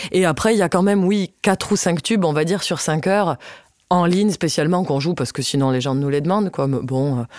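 A woman has an unremarkable speaking voice, a fairly low pitch and lively intonation. She talks at a fairly quick pace with very even loudness. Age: 20s. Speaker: accordionist. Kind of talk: casual interview.

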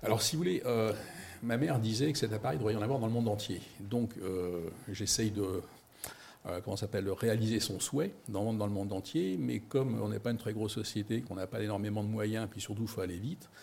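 A somewhat breathy voice with ordinary pitch variation at a fairly quick pace. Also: man, fairly low pitch for a man. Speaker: company founder. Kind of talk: investor pitch interview. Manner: hesitant.

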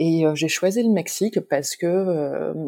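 Her dark, mellow tone sits at a fairly low pitch with ordinary pitch variation, and this woman is captured on a very clean recording with a silent background. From northern France, Lille. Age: 30s. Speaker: entrepreneur, brand founder. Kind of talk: interview. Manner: hesitant, many fillers.

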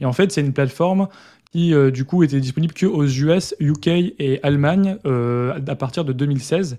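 Against a quiet background, a man with a dark, mellow tone speaks at a fairly high pitch with ordinary variation. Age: 20s. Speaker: self-publishing entrepreneur and YouTuber. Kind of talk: casual interview.

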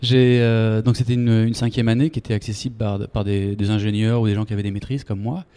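A man rattles along at a very fast pace in a dark, mellow tone, with hardly any pauses. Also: medium pitch for a man, fairly even intonation. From France, Bordeaux. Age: 30s. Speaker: startup founder, former medical sales rep. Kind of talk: interview. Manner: hesitant, many fillers and repetitions.

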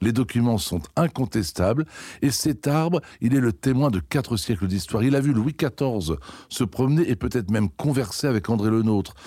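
In a very clean recording with a silent background, a man speaks at a moderate pace with a dark, mellow tone, medium pitch, lively intonation and very even loudness. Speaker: head gardener. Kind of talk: interview.

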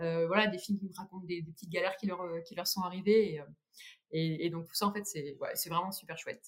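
Somewhat breathy and very fast, a woman talks at a medium pitch with fairly even intonation and big swings in loudness. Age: 30s. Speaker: cycling community founder. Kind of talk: podcast interview. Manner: halting.

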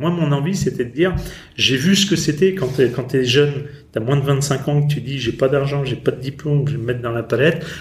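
Over noticeable background noise, a man talks at a fairly quick pace in a fairly high voice with ordinary pitch variation. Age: 50s. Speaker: company founder. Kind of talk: interview. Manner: halting.

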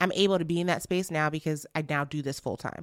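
A woman's very deep, low voice carries a bright, sharp tone on a very clean recording with a silent background. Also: dry, close sound with no echo. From Nigeria. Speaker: podcast community founder. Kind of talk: interview conversation.

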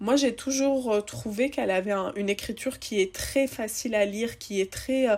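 With an ordinary speaking voice, a woman talks at a fairly slow pace, her pitch fairly high and ordinary in its variation. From Tunisia, Tunis. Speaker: podcast host. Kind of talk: casual chat. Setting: remote recording.

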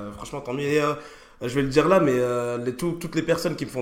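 A man with fairly even intonation, over noticeable background noise. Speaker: podcast host. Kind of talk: casual interview chat.

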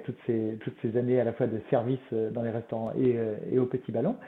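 A man with a medium pitch. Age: 50s. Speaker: wine company CEO. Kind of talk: interview. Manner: halting.

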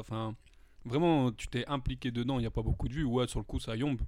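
A man at a very fast pace, on a very clean recording with a silent background. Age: 20s. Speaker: amateur beatmaker and pool worker. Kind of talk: casual chat. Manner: casual slangy speech.

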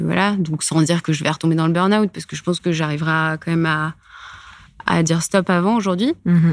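A woman speaks in a plain, everyday voice, fairly low in pitch, at a fairly quick pace with fairly even intonation. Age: 30s. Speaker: corporate lawyer. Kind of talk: casual interview.

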